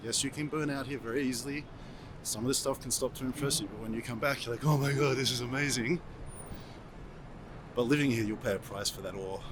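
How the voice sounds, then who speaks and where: A man speaks at a medium pitch with an Australian accent and fairly even intonation. His delivery is very fast, yet broken by long, frequent pauses. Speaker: vlogger and marketing strategist. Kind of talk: travel vlog narration; interview.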